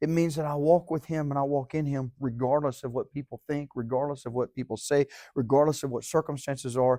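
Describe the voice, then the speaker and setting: With an American accent, a man speaks fairly quickly in a fairly high, dark and mellow voice, recorded very cleanly with a silent background and a dry, close sound with no echo. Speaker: Sunday school teacher. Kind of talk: sermon. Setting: church. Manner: fast; animated.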